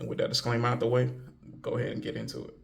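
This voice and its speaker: A man is speaking, with audible room echo around his voice. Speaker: video commentator. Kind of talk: casual commentary monologue. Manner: hesitant, many fillers.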